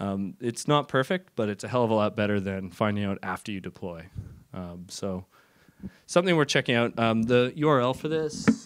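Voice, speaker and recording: On a very clean recording with a silent background, a man talks at a moderate pace. His pitch is medium, and his intonation is lively. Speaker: software developer giving a tech talk. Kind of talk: conference talk. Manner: casual; loud.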